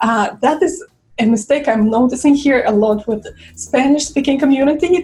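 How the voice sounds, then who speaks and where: Speaking with a Russian accent, a woman talks at a fairly slow pace with ordinary pitch variation. Noticeable background noise can be heard. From Russia, Saint Petersburg. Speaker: violinist and vlogger. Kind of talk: casual vlog talk. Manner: halting, with fillers.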